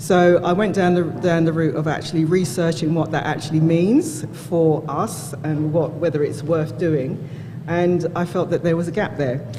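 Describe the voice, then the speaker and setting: There is noticeable background noise as the speaker goes at a moderate pace. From UK. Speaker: drinks brand founder. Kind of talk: panel discussion. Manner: hesitant, many fillers.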